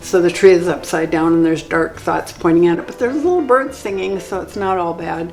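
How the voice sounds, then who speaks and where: The voice moves at a moderate pace with ordinary pitch variation. Audible room echo and noticeable background noise fill the recording. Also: woman. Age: 70s. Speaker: bead artist. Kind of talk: interview monologue about own artwork. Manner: casual, hesitant with fillers.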